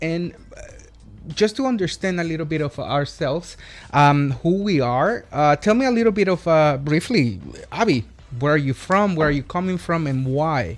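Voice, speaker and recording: A man with a Spanish accent speaks at a moderate pace in a fairly high pitch with lively intonation. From El Salvador. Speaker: podcast co-host. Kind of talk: casual chat.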